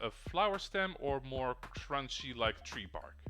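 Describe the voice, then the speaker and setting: A man with a non-native accent speaks over music in the background. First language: not English. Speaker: talk show co-host. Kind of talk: casual chat.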